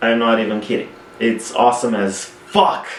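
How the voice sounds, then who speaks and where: A man with a Romanian accent amid noticeable background noise. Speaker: film reviewer. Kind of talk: casual talk to camera.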